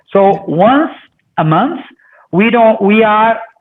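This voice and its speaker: A man with a Portuguese accent talks loudly at a fairly slow pace. His pitch is high, with ordinary variation. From Brazil. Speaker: company CEO. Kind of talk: interview. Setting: video call.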